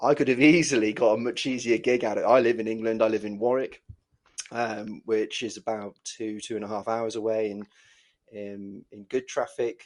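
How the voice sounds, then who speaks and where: A man with an English accent talks at a moderate pace and medium pitch, his intonation fairly even. His loudness swings widely against a quiet background. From Wales. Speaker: dodgeball team coach. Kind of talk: podcast interview. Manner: halting, many fillers and repetitions.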